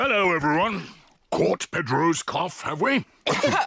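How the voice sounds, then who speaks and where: A man's cartoonish character voice with a high pitch. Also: moderate pace. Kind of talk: children's cartoon voice acting. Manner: kindly, gently teasing.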